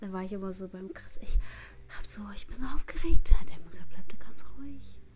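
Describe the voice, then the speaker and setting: At a moderate pace, a woman speaks with lively intonation in a somewhat breathy voice. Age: young. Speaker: trainee dance teacher. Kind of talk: interview.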